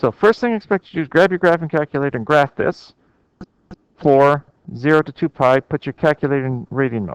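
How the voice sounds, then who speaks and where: In an ordinary speaking voice, a man talks at a fairly quick pace and a fairly high pitch. His intonation is lively, and the sound is dry and close with no echo. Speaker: math teacher. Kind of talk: lecture.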